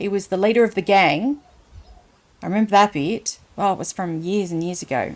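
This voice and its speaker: In an Australian accent, a woman speaks at a fairly quick pace with a medium pitch. Her tone is playful, with ordinary pitch variation. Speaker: storyteller, reader. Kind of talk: children's story reading with casual asides. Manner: chatty, playful.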